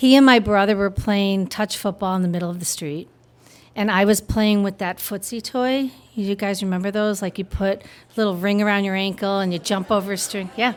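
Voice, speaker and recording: A woman with a plain, everyday voice talks at a fairly quick pace in a medium pitch with fairly even intonation. The recording is very clean, with a silent background. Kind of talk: live storytelling performance. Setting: live audience. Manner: casual, humorous.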